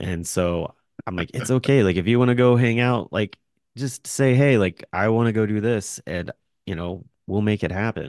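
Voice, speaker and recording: Against a quiet background, a man speaks at a fairly low pitch with ordinary pitch variation. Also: moderate pace. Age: 40s. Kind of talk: casual chat.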